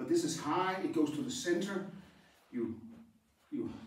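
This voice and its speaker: Man with a high pitch and lively intonation at a moderate pace, amid noticeable background noise and audible room echo. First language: Danish. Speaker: karate instructor. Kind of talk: tutorial. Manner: halting.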